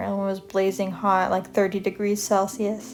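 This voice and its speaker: A woman speaks with a Canadian accent. Music plays in the background. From Canada. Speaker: video creator. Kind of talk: casual chat. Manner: casual, many fillers.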